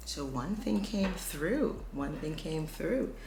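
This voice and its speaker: A woman talks at a fairly slow pace, and audible room echo surrounds her words. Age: 50s. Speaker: beauty vlogger. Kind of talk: makeup tutorial. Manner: casual; whispering.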